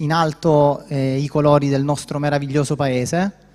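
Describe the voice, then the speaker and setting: A man talks at a fairly high pitch with fairly even intonation as noticeable background noise plays behind him. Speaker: military officer presenting award. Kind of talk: award speech. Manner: hesitant, many fillers.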